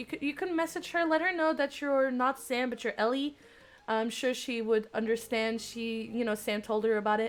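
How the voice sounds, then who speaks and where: A woman is speaking here. Her pitch is high and her pace moderate. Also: ordinary pitch variation. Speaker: streamer. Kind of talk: live gameplay stream reading visual novel. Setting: live stream. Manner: animated.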